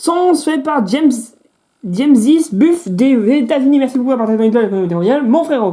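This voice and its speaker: In an animated tone, a woman races along at a very fast pace, her pitch swinging very widely. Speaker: gaming youtuber. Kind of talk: casual gameplay commentary. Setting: temporary studio.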